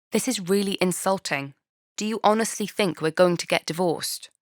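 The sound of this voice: Hissing put-on character voice at a fairly quick pace, ordinary pitch variation, dry and close with no echo, very clean recording with a silent background. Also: woman, medium pitch for a woman.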